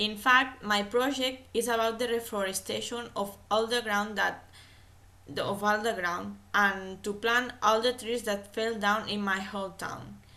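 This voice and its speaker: A woman speaks at a fairly slow pace in a fairly high pitch, with fairly even intonation. Her tone is bright and sharp, and audible room echo surrounds her. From Catalonia, Spain. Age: 20s. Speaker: language student. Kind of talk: class oral presentation. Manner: hesitant, self-correcting.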